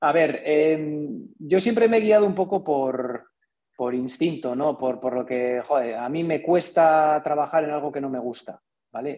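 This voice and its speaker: In an unremarkable speaking voice, a man talks at a moderate pace with a fairly high pitch and lively intonation. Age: 40s. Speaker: engineer and entrepreneur. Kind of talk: interview.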